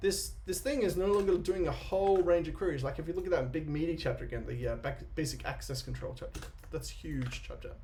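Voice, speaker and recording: A man talks fairly quickly, and audible echo from the room follows his words. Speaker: software developer. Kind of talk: live coding tutorial. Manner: fast.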